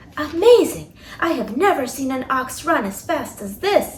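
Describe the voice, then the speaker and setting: A put-on character voice with a high pitch moves at a moderate pace. Light background noise is present. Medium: read story.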